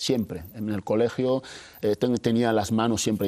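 Against a quiet background, a man talks at a moderate pace. His tone is dark and mellow, his pitch fairly low, and his intonation fairly even. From Equatorial Guinea. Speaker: illustrator. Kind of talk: interview. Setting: studio. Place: studio.

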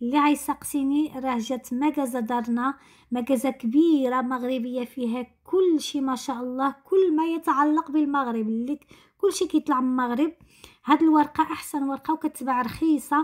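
In a high voice and at a moderate pace, a woman speaks with ordinary pitch variation against a quiet background. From Morocco, Tangier; Morocco. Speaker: lifestyle vlogger. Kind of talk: casual vlog narration. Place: kitchen.

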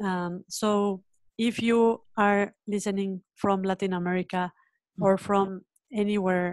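In a dry sound with no echo and a quiet background, a woman with a Spanish accent speaks very slowly at a medium pitch with monotone, flat intonation. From Mexico. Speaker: education nonprofit founder. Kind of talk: webinar panel conversation. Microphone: video call.

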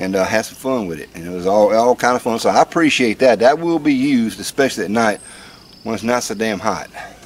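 The speech comes at a very fast pace. Pitch varies in an ordinary way. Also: man. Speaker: vlogger. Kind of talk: casual vlog chat. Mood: wry, joking. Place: garden.

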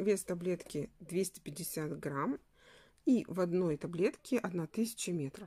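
A woman with a fairly low, dark, mellow and somewhat breathy voice speaks at a very slow pace with ordinary pitch variation. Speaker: crochet instructor. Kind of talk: tutorial.

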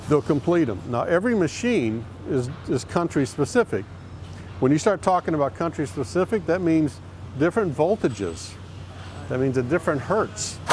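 A man's voice with vocal fry and very wide pitch swings, dry with no echo, over light background noise. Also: moderate pace. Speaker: company guide on factory tour. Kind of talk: guided tour explanation.

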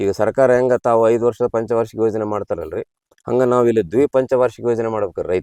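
A man talks at a medium pitch in a monotone, flat intonation with a dark, mellow tone. The sound is dry and close, with no echo. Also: very even loudness. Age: 60s. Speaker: farmer. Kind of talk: interview.

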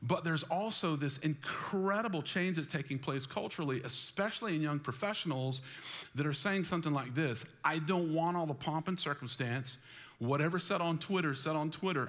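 The man speaks at a fairly quick pace with ordinary pitch variation. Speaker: pastor. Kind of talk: sermon. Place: church.

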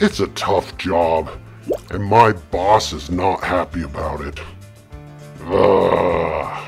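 Against clear music in the background, a man uses a cartoonish character voice, very deep and low, at a very slow pace. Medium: puppet show. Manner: weary, grumbling, self-pitying.

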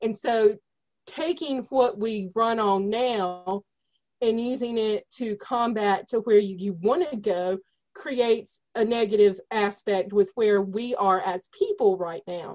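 Speaking very slowly with an American accent, a woman uses a fairly high pitch and ordinary pitch variation. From North Carolina, US South. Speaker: energy healer, meditation teacher. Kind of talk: interview conversation. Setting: remote call with connection dropouts. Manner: direct.

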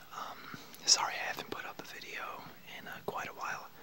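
A man is whispering. He keeps a moderate pace. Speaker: vlogger. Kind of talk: casual vlog chat. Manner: soft, hushed close-up talking. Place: home room. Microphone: webcam.

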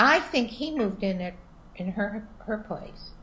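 The woman's voice is somewhat breathy. Her delivery comes at a fairly slow pace. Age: 70s. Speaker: interviewee mother of the filmmaker; interviewee. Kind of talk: casual chat. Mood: warm, wry. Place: home room. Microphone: video call.

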